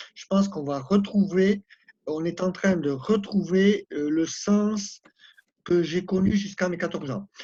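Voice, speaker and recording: Speaking at a fairly slow pace, a man with a high pitch and a dark, mellow tone shows ordinary pitch variation and big swings in loudness. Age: 70s. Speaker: participant. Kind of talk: spoken contribution in an online discussion.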